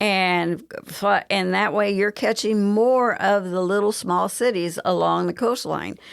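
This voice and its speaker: A woman with a Southern US accent at a medium pitch and fairly slow pace, very even in loudness, on a very clean recording with a silent background. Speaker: travel agent. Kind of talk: interview. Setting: radio studio.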